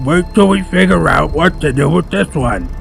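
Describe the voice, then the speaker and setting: Clear music plays in the background behind a put-on character voice. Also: man, fairly high pitch for a man, moderate pace. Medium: read story. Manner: slow, labored speech, lips barely moving.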